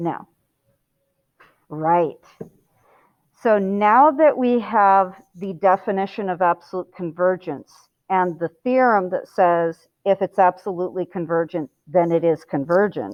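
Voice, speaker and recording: Her voice sits at a medium pitch with ordinary variation. The woman talks fairly slowly and leaves long, frequent pauses. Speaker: high school math teacher. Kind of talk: lecture. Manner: animated.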